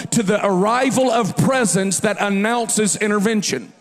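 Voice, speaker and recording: Music plays behind a man with a high voice and an animated tone. He speaks at a moderate pace with ordinary pitch variation. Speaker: preacher. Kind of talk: sermon.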